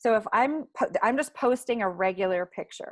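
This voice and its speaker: A woman talks at a fairly slow pace in an unremarkable speaking voice with lively intonation. The sound is dry and close, with no echo. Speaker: social media marketing instructor. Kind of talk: webinar tutorial.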